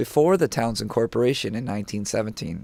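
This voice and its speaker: A normal speaking voice from a man, medium in pitch, lively in intonation, at a fairly quick pace, on a very clean recording with a silent background. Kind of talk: documentary narration.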